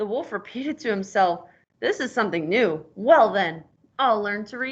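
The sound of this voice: It's an unforced reading voice.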